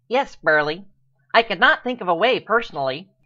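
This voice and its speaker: Over a quiet background, a female-sounding voice does a put-on character voice at medium pitch and a fairly quick pace. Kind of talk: 1940s radio acting. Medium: audio drama. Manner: formal, polite.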